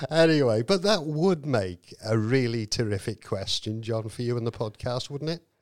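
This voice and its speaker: At a moderate pace with hardly any pauses, a man uses an ordinary speaking voice at a medium pitch with lively intonation, in a very clean recording with a silent background. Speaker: podcast host. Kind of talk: interview.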